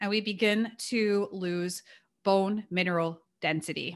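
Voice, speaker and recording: The woman's tone is bright and sharp. It is a very clean recording with a silent background. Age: 40s. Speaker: nutrition and strength training coach. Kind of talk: interview.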